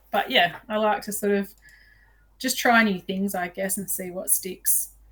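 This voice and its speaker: In an Australian accent, a woman speaks at a fairly slow pace with a medium pitch and fairly even intonation. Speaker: outdoor filmmaker and bow hunter. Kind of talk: podcast interview. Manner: loud; chatty.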